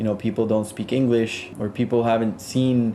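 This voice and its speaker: In a Spanish accent, a man with a medium pitch and a dark, mellow tone speaks at a fairly quick pace with monotone, flat intonation. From South Florida, Colombian family. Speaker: music producer. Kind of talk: interview. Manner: halting, many fillers and restarts.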